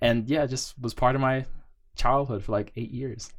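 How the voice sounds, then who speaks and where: A man talks fairly quickly in an ordinary speaking voice, his pitch shifting in an ordinary way. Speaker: podcast co-host. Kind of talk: casual banter chat. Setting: studio. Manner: joking, rambling.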